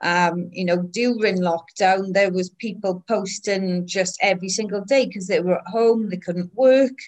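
A Welsh accent at a moderate pace, with fairly even intonation and hardly any pauses. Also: woman, medium pitch for a woman. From Wales. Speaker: film network founder. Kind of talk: casual interview.

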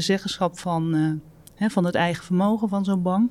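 An unremarkable speaking voice moves at a moderate pace with fairly even intonation. The recording is very clean, with a silent background. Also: woman. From Netherlands, North Brabant near Breda. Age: 50s. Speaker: property development executive. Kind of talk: interview.

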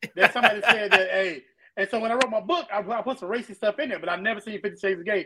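Speaking very fast in a raised, projected voice, a man uses a high pitch with ordinary pitch variation. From Florida, Pensacola. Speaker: podcast co-host, music producer and youth football coach. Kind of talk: casual chat.

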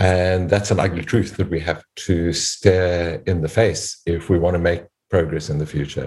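Against a quiet background, a somewhat breathy man speaks at a moderate pace. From South Africa. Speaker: professor and podcast host. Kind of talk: panel discussion.

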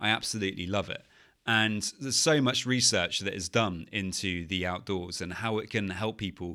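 A man with a British accent speaks at a fairly low pitch with ordinary pitch variation and a bright, sharp tone. The recording is very clean, with a silent background. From UK. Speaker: anxiety and OCD coach, podcast host. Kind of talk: solo podcast monologue.

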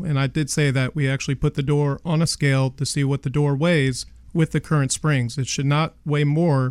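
An ordinary speaking voice with an American accent talks at a moderate pace with fairly even intonation. The sound is dry and close, with no echo. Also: man. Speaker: garage door company owner. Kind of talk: radio interview. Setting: studio.

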